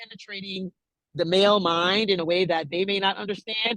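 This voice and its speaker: The woman's voice is at a medium pitch. She talks fairly quickly. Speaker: music industry manager and CEO. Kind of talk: interview. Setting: video call. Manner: loud.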